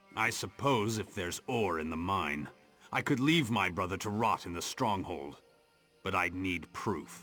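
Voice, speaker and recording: The put-on character voice is delivered at a moderate pace. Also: man, very deep, low pitch for a man. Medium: video game. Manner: proud, brooding.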